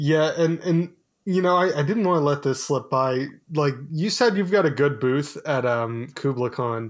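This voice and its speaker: A man speaks at a moderate pace in a normal speaking voice, fairly high in pitch with ordinary pitch variation. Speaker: co-host asking questions. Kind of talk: casual interview-style chat.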